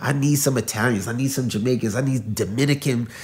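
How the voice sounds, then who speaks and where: At a very fast pace, a man speaks in a medium pitch with a dark, mellow tone, somewhat breathy and with ordinary pitch variation. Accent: New York. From New York, the Bronx. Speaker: pastor. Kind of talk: casual interview chat.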